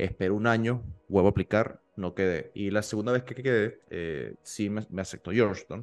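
Music plays in the background as a man with a fairly low pitch speaks at a moderate pace with fairly even intonation. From Venezuela, Maturín (eastern interior). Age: 30s. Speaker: petroleum engineer and entrepreneur, MBA student. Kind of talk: casual interview. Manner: halting, frequent repetitions and fillers.

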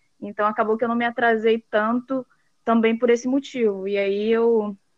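A woman's fairly high voice, monotone and flat at a moderate pace, in a dry, close sound with no echo. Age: 20s. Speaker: accountant and auditor. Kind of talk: interview.

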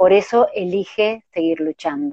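Very slow and full of lively intonation, a woman's medium-pitched voice sounds dry and close, with no echo. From Argentina, Córdoba. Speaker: interviewer for a support organization. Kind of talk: casual interview.

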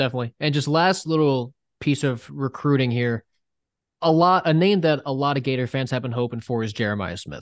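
An ordinary speaking voice from a man at medium pitch, moving at a fairly quick pace with ordinary pitch variation. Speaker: sports podcast host. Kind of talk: casual sports chat.

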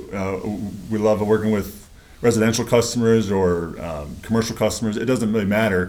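With an American accent, a man speaks at a fairly quick pace in a fairly low pitch. His intonation is fairly even, and audible room echo is present. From upstate New York, rural. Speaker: locksmith and security business owner. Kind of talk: casual interview. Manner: halting, many fillers.

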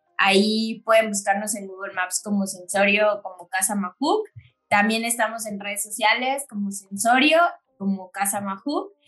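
In an ordinary speaking voice, a woman with a medium pitch talks at a fairly slow pace, her intonation fairly even and her loudness swinging widely. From Chiapas, Mexico. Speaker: specialty coffee business owner. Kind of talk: casual interview.

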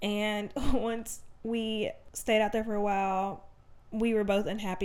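A woman with a Southern US accent, medium in pitch, at a moderate pace. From Alabama. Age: 20s. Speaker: podcast host. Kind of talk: casual monologue. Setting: home desk, no studio.

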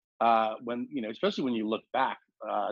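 A man's fairly low-pitched voice carries a slightly husky edge.

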